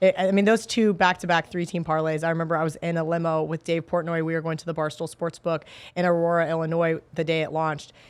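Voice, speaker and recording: A woman speaks at a very fast pace with a fairly low pitch. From Kansas. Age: 30s. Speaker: sports betting analyst. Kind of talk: casual chat. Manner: animated.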